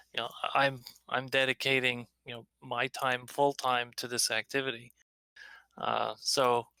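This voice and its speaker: In a dry, close sound with no echo, a man with a medium pitch talks at a moderate pace in a calm, bright, sharp tone with monotone, flat intonation. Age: 60s. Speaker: drone advocacy organizer. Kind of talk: online community meeting discussion. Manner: calm, measured; halting, many fillers.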